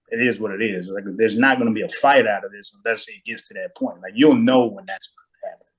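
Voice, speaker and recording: A man talks at a very fast pace in a passionate, confident tone. His loudness swings widely. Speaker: podcast co-host. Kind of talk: casual discussion.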